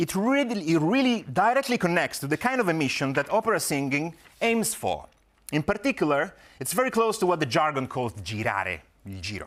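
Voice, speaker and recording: A man with an Italian accent speaks at a fairly quick pace and a high pitch. His pitch swings very widely. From Italy, Rome. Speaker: academic researcher. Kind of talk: conference presentation. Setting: conference talk. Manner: formal.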